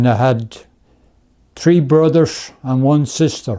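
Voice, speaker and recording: In an Irish Midlands accent, a man speaks very slowly at a medium pitch with ordinary pitch variation. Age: 80s+. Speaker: grandfather telling his life story. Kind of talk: documentary interview, life story.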